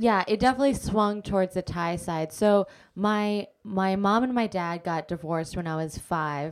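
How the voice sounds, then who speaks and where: A woman with a General American accent and an unremarkable speaking voice, medium in pitch with ordinary pitch variation, at a moderate pace with hardly any pauses, on a very clean recording with a silent background. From Alaska (Anchorage). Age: 30s. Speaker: comedian and actor. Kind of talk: casual interview chat.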